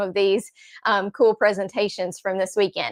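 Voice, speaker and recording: A woman with a slight Southern accent speaks in a fairly high voice with monotone, flat intonation. The recording is very clean, with a silent background. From US South, Nashville, Tennessee. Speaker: card-making crafter. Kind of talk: craft tutorial in a live chat.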